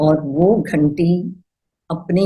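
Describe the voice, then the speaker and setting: This woman has a non-native accent and a dark, mellow tone. Her voice is somewhat breathy. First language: not Hindi (speaking Hindi). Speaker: healer. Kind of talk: personal testimony.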